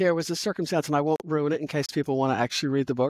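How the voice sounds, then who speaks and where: A woman with an American accent and a very deep, low pitch speaks with ordinary pitch variation in a very clean recording with a silent background and a dry, close sound with no echo. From United States. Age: 60s. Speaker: author. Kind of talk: interview.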